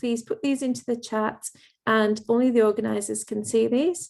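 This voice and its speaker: In a very clean recording with a silent background, a woman speaks at a moderate pace with an English accent. Her fairly high pitch comes with a dark, mellow tone and fairly even intonation. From England. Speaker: event host and lecturer. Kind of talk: formal event introduction. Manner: formal.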